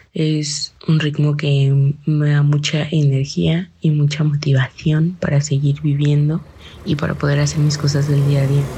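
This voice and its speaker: A woman speaks at a fairly slow pace in a very deep, low, somewhat breathy voice with a dark, mellow tone. Her intonation is monotone and flat, and her loudness stays very even. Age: 20s. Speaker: interviewee, young listener. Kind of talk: casual interview.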